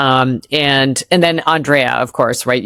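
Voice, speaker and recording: A woman with an American accent speaks in a very deep, low voice. The sound is dry and close, with no echo. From US Midwest. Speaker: entrepreneur and former marketing executive. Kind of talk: interview conversation. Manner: hesitant, many fillers.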